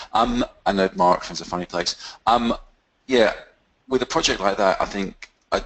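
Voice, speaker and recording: A man is speaking. His pace is moderate. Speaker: coaching client. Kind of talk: group call discussion. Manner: soft-spoken. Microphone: far from the mic.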